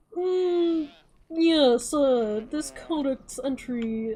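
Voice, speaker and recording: Using a put-on character voice, a woman sounds pompous, with a high pitch, lively intonation and a very slow pace. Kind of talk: posh, affected. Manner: pompous, haughty.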